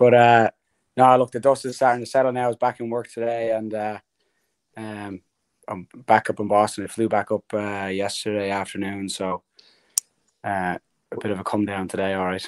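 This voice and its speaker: A man with an Irish accent speaks at a moderate pace with long, frequent pauses and a fairly low pitch. His intonation is fairly even, with a dry sound with no echo and a quiet background. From Ireland. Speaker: Gaelic football player. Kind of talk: casual chat. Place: home room. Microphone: video call.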